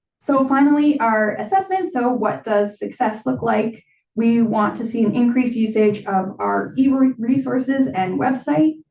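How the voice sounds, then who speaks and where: With lively intonation and a fairly high pitch, a woman speaks at a fairly slow pace in a somewhat breathy voice. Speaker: library staff presenter. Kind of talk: presentation at board meeting. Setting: board meeting.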